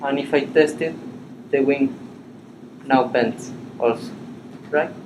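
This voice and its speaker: With noticeable background noise around him, a man with a fairly high pitch speaks at a fairly slow pace, his pitch shifting in an ordinary way. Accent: Spanish. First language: Spanish. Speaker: animation software instructor. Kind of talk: workshop tutorial. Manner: halting.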